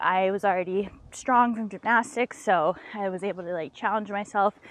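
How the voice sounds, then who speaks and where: A woman with an American accent has a plain, everyday voice. Her pitch is medium and her pace moderate. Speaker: professional climber. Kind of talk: casual chat. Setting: outdoors.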